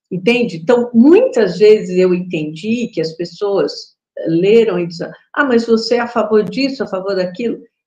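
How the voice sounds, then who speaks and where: Fairly high in pitch, a woman's somewhat breathy voice carries a dark, mellow tone. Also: ordinary pitch variation, moderate pace. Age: 60s. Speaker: spiritual teacher. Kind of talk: casual chat. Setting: live stream.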